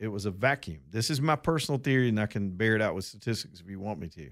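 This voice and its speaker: With an Alabama accent and lively intonation, a man speaks at medium pitch on a very clean recording with a silent background. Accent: Southern US (Alabama). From Alabama, US South (Roanoke). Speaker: talk radio host. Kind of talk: talk radio monologue.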